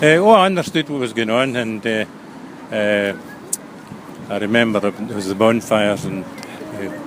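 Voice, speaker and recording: With a west of Scotland accent, a man speaks at a moderate pace and a fairly low pitch with ordinary variation, taking long, frequent pauses over noticeable background noise. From Scotland, Ayrshire coast. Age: 70s. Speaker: elderly local resident recalling wartime. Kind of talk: interview reminiscence. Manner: halting, many fillers.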